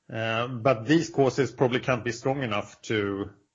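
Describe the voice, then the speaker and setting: A man with a non-native accent talks at a fairly quick pace. His voice is somewhat breathy, with ordinary pitch variation. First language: not English. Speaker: podcast host. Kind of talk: casual chat.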